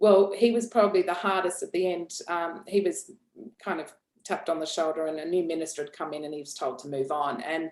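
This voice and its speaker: The speaker has an Australian accent and a fairly quick pace. Their loudness swings widely. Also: woman, fairly low pitch for a woman, ordinary pitch variation. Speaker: founder of an executive assistant training business. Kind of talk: podcast interview. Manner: hesitant, many repeated words.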